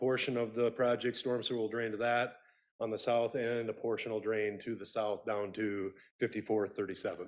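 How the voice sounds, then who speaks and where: At a fairly quick pace, a man speaks at a medium pitch in a monotone with flat intonation. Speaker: city engineer. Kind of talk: public presentation. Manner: loud.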